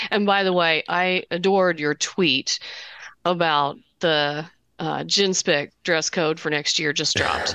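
In an American accent, a woman with a bright, sharp tone and a fairly low pitch speaks at a fairly slow pace, the sound dry and close with no echo. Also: fairly even intonation. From Southern Indiana and Kentucky, US. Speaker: memoir author. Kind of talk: interview conversation. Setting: video call.

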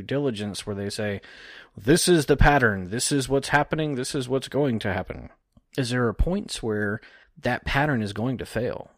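In a very clean recording with a silent background, a man uses an ordinary speaking voice at a moderate pace with ordinary pitch variation. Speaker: technical analyst. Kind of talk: casual chat about markets, tutorial.

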